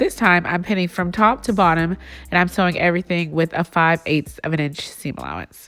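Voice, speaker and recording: With music in the background, a woman talks at a fairly low pitch. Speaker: sewing instructor. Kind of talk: tutorial. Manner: casual.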